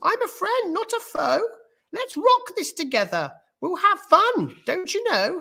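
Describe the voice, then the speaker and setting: A squeaky, put-on character voice at an extremely high pitch and a fairly slow pace. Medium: read story. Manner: hesitant, stammering.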